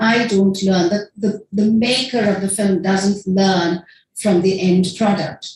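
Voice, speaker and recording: A woman's voice comes across somewhat breathy. She talks at a moderate pace in a medium pitch. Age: 60s. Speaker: filmmaker and academic speaker. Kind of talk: conference presentation. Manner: casual, conversational.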